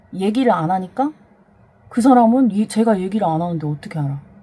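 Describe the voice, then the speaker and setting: A woman's somewhat breathy voice moves at a fairly quick pace in a dark, mellow tone. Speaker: vlogger. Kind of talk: personal testimony. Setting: home storage room. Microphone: voice recorded very quietly, gain boosted in editing.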